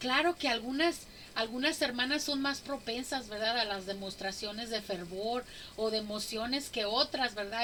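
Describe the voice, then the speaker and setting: Her pace is fairly slow. This woman speaks at a high pitch. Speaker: women's Bible study teacher. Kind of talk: Bible study teaching.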